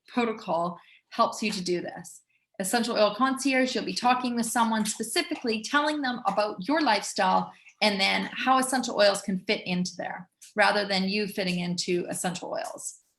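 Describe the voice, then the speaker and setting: A woman talks in an ordinary speaking voice at a fairly high pitch. Her pace is moderate and her pitch variation ordinary. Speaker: essential oils educator. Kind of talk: webinar presentation with sales pitch.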